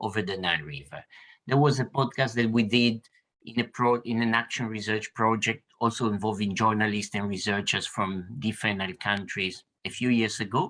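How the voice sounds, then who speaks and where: A man with an Italian accent speaks in a bright, sharp tone with ordinary pitch variation. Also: fairly low pitch for a man, moderate pace. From Italy. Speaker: university lecturer and researcher. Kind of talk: roundtable discussion. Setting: video call.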